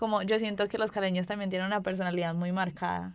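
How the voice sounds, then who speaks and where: A woman talks at medium pitch with monotone, flat intonation. The recording is very clean, with a silent background. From Colombia, Pereira. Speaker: student podcast host. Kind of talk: podcast conversation.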